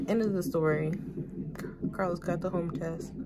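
A woman speaks at a fairly slow pace over loud background noise. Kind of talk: casual vlog storytelling. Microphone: phone near.

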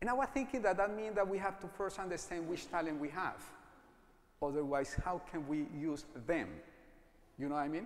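Pausing long and often, a man talks at a fairly quick pace with a high pitch and lively intonation. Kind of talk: sermon. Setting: church. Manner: halting.

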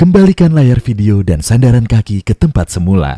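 Very deep and low in pitch, a woman's voice has a dark, mellow tone and very wide pitch swings, heard dry and close with no echo. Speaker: voice actor. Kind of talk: airline in-flight safety announcement.

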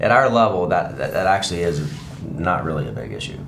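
A man talks with very wide pitch swings. Light background noise sits behind him. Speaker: real estate broker. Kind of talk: interview answer. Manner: quiet, soft-spoken. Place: studio. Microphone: lapel.

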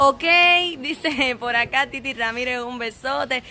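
A woman speaks in a raised, projected voice with ordinary pitch variation. Light background noise can be heard. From rural Cuba. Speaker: online entertainment show host. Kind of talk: live-stream interview. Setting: outdoor bar terrace. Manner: animated. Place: bar. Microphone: phone near.

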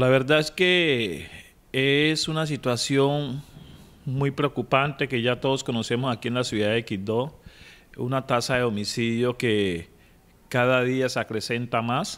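A man speaks fairly slowly, and his pitch varies in an ordinary way. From Quibdó, Chocó, Colombia; Chocó, Colombia. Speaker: municipal ombudsman. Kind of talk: news interview. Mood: serious, concerned. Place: office. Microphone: handheld.

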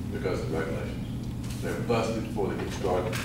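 Through loud background noise and audible room echo, a man is speaking. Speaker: political candidate. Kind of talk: campaign speech. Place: hall. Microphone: camera far.

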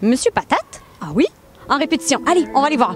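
Very wide pitch swings mark this woman's speech. The sound is dry with no echo, over light background noise. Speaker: radio host. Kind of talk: radio culture segment presentation. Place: street. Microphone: handheld.

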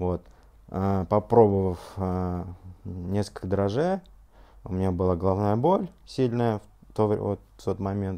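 A man with a fairly low pitch and a dark, mellow tone speaks at a very slow pace with fairly even intonation and long, frequent pauses over a quiet background. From Russia, Ufa (Bashkortostan); Bashkortostan, Russia. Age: 30s. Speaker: scientist giving product testimonial. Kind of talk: testimony. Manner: halting, many filler sounds. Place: home room.

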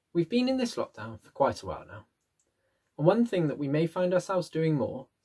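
With a dark, mellow tone, a man talks at a fairly quick pace with very wide pitch swings in front of a quiet background. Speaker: presenter. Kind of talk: tutorial. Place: home room. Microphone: webcam.

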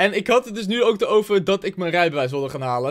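A man talks at a fairly quick pace with very wide pitch swings against a quiet background. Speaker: vlogger; youtuber. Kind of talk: reaction video commentary. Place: home room. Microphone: studio mic.

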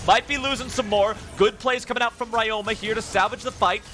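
Over noticeable background noise, a man uses a raised, projected voice, high in pitch, at a fairly quick pace. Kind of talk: esports commentary. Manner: fast, excitable play-by-play; energetic, urgent.

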